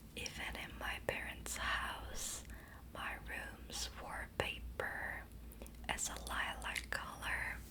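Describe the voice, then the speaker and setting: Noticeable background noise runs under this clip. A woman whispers, very slowly. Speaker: ASMR creator. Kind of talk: whispered ASMR ramble to help viewers sleep. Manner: whispered, soft-spoken, slow.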